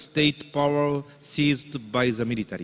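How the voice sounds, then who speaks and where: With ordinary pitch variation, the words come at a fairly slow pace. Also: man. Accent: Japanese. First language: Japanese. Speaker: business association leader introducing keynote speaker. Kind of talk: formal speech introduction. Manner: formal.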